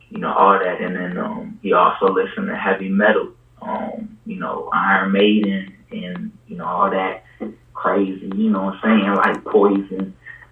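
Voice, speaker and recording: A man speaks at a moderate pace with big swings in loudness, and background noise is noticeable. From Puerto Rico. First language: Spanish. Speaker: rapper. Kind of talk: casual chat. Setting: podcast interview. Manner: hesitant, many fillers.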